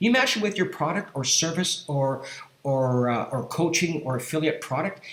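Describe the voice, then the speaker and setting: Lively intonation marks this man's fairly high-pitched voice. There is noticeable background noise. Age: 60s. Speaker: affiliate marketing youtuber. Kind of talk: screen-share tutorial pitch. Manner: halting, many fillers and repeats.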